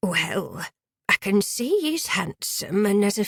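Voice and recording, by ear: Over a quiet background, lively intonation marks this reading aloud in a natural voice.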